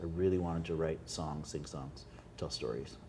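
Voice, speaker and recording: A man with a Winnipeg accent talks at a fairly quick pace in a very deep, low voice with ordinary pitch variation. Audible room echo surrounds his speech. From Canada, Winnipeg. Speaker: singer-songwriter. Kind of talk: casual interview chat. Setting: restaurant.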